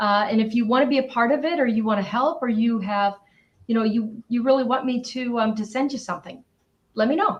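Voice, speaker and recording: A woman with a fairly high pitch and an ordinary speaking voice, at a fairly quick pace with ordinary pitch variation. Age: 60s. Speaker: author. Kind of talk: interview.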